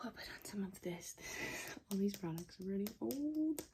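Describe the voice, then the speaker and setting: A soft-spoken woman talks in a relaxed tone. Her voice is dark, mellow and somewhat breathy. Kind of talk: casual talk to camera, ASMR get-ready-with-me chat. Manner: soft-spoken, relaxed.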